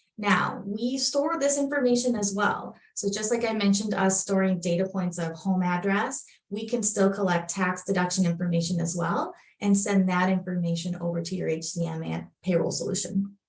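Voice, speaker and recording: The speaker talks at a moderate pace in a Minnesotan accent, with ordinary pitch variation. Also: woman, medium pitch for a woman. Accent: Minnesota. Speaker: software product presenter. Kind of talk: webinar product demo. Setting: online webinar.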